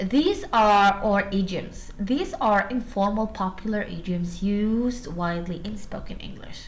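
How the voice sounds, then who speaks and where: With an Arabic accent, a somewhat breathy woman speaks at a medium pitch and a very slow pace amid audible room echo. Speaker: university lecturer. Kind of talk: lecture.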